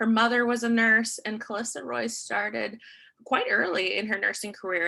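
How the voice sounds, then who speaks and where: Vocal fry runs through a bright, sharp tone that moves at a fairly quick pace with ordinary pitch variation. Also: woman. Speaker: nursing student. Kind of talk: class presentation.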